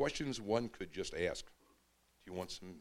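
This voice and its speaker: This man speaks at a fairly slow pace with a medium pitch. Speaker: poet. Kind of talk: reading aloud. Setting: stage with audience.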